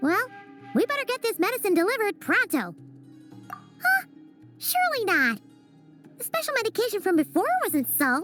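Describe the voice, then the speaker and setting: A cartoonish character voice at an extremely high pitch, with clear music in the background. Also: moderate pace. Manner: excitable, quick.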